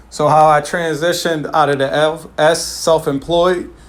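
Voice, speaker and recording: A man speaks over noticeable background noise. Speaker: financial coach presenting to clients. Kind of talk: online presentation wrap-up; informal explanation. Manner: casual with many fillers.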